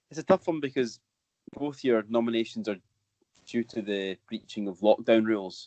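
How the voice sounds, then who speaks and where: A man's medium-pitched voice with a Scottish accent and a dark, mellow tone, at a moderate pace with long, frequent pauses and ordinary pitch variation, in a dry, close sound with no echo. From Scotland. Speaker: football podcast co-host. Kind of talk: casual chat.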